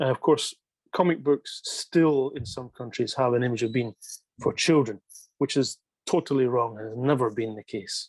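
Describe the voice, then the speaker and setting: A man speaks with a Scottish accent at medium pitch and a moderate pace, with ordinary pitch variation. His loudness swings widely, and the sound is dry and close with no echo. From Scotland. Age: 50s. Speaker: manga writer. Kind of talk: interview. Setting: video call.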